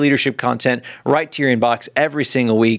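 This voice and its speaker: Fairly even intonation runs through delivery that goes very fast. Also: man. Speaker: podcast co-host. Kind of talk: interview.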